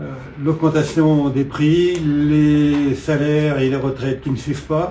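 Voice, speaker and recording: Over noticeable background noise and audible room echo, a man talks at a very slow pace. His fairly high voice stays monotone, with flat intonation. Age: 70s. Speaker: political candidate. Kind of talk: interview. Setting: at his home. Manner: hesitant, many filler sounds.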